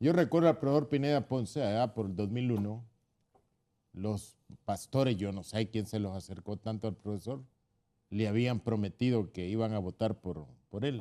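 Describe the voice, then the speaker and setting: In a dark, mellow tone, a man with a fairly low voice talks at a moderate pace with ordinary pitch variation. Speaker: political panelist. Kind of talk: political talk show debate.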